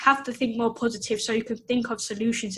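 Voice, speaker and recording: A woman has a plain, everyday voice with a fairly high pitch. She keeps a moderate pace and fairly even intonation. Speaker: online coach and personal trainer. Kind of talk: casual interview chat. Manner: conversational, uses filler words.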